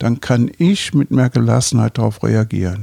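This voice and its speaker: A man's fairly low, dark and mellow voice at a moderate pace, with ordinary pitch variation and a dry, close sound with no echo. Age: 70s. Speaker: physician and Buddhist teacher. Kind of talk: interview conversation.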